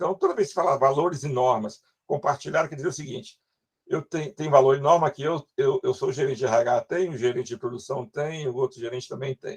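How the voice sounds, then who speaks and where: Somewhat breathy, a man speaks at a fairly quick pace in a fairly high pitch. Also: dry, close sound with no echo. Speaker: university lecturer. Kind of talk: lecture. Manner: fast.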